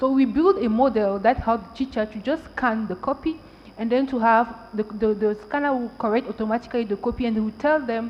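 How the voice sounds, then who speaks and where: Talking at a fairly quick pace, a woman with a French accent uses a fairly high pitch and ordinary pitch variation. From Cameroon. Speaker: tech entrepreneur and panelist. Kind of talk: panel discussion.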